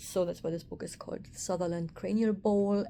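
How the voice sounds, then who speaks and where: A woman with a German accent, a dark, mellow tone, fairly even intonation and a fairly quick pace. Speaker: craniosacral therapist. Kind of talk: casual vlog monologue. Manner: halting, with fillers.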